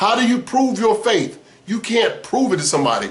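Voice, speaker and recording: Amid noticeable background noise and audible room echo, a man speaks in an animated tone at a moderate pace. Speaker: former preacher turned religion critic. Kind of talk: personal story monologue.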